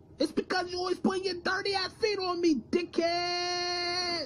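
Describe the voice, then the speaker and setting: Over clear background noise, a put-on character voice speaks at an extremely high pitch. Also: moderate pace. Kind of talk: comic overacting. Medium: comedy sketch. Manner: sarcastic, indignant.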